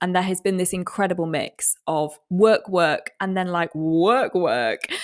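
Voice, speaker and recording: With an English accent and medium pitch showing ordinary variation, a woman speaks on a very clean recording with a silent background. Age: 30s. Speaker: weather presenter and podcast co-host. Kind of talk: casual chat. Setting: call. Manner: fast, frantic.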